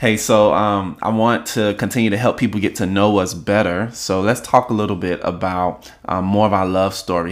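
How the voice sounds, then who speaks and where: With a plain, everyday voice, a man of fairly low pitch speaks at a moderate pace with fairly even intonation. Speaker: podcast host. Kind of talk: casual chat podcast.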